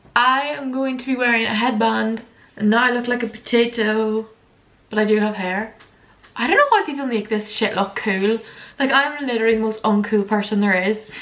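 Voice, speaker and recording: A woman with a fairly high pitch speaks in an animated tone. Noticeable background noise runs underneath. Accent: Northern Irish. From Northern Ireland, border area. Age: 20s. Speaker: lifestyle vlogger. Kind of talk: casual chat. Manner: fast.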